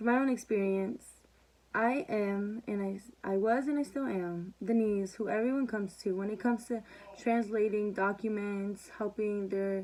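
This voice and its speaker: A woman's medium-pitched voice with a Spanish accent, fairly even intonation and a moderate pace. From Mexican-American household, US. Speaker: student. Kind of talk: class presentation. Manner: halting, with repetitions.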